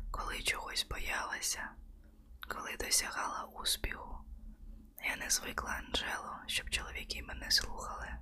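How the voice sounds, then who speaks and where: Against noticeable background noise, the talking proceeds at a fairly slow pace. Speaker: audiobook narrator. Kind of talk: ASMR audiobook reading, bedtime-story style. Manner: soft, slow, intimate, hushed narration.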